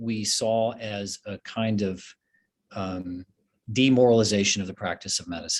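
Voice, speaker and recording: With an American accent, a man speaks at a very slow pace in a medium pitch, the sound dry and close with no echo. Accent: Southern US, thicker lately. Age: 40s. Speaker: physician and professor. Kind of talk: interview conversation.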